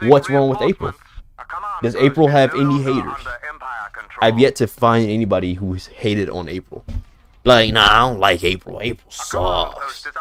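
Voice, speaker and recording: Music plays in the background as a man with a medium pitch speaks at a moderate pace, taking long, frequent pauses. His tone is animated and his intonation lively. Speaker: gaming streamer. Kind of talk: live gameplay stream chat. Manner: casual, animated.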